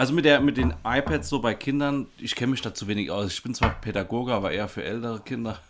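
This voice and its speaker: Talking at a very fast pace with hardly any pauses, a man uses a medium pitch, lively intonation and vocal fry. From Germany, Rhineland-Palatinate (Baumholder). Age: 30s. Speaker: podcast co-host, educator. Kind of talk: casual chat.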